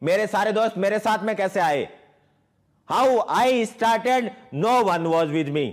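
Speaking very slowly with an Indian accent, a man keeps his loudness very even, his pitch high and his intonation lively, with a quiet background. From Jodhpur, Rajasthan, India; Rajasthan, India. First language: Hindi. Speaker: network marketing distributor. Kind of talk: motivational speech. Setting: online event. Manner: animated. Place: home room. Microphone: lapel.

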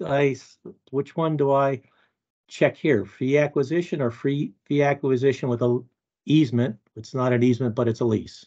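Speaking at a moderate pace with long, frequent pauses, a man uses a dark, mellow tone and fairly even intonation against a quiet background. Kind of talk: meeting question. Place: home room. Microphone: video call.

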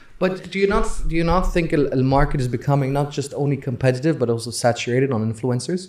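A man talking at a very fast pace with hardly any pauses, fairly high pitch and ordinary pitch variation, over noticeable background noise. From Saudi Arabia, Eastern Province. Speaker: podcast host. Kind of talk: casual chat.

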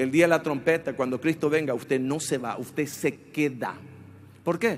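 With a Paraguayan accent, a man speaks at a fairly high pitch and a moderate pace. Light background noise sits behind him. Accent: Paraguayan Spanish with voseo. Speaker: pastor. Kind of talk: sermon. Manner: animated, forceful, exhorting the congregation; rhetorical questions with colloquial jabs. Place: church. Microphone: handheld.

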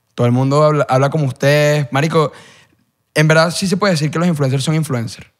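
Against a quiet background, a man speaks at a very fast pace. His pitch is fairly high, with fairly even intonation. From Venezuela. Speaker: content creator. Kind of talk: casual chat. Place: studio. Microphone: studio mic.

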